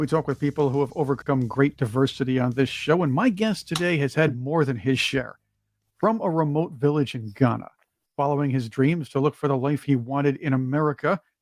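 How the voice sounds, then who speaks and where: A man talks in an ordinary speaking voice at a fairly high pitch, a fairly quick pace and ordinary pitch variation. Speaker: podcast host. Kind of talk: podcast intro.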